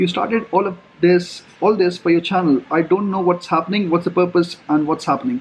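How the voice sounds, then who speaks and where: A man speaks at a fairly quick pace with a high pitch. Light background noise is present. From India. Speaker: travel vlogger. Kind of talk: vlog monologue. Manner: casual, conversational. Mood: relaxed, friendly. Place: cafe. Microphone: phone near.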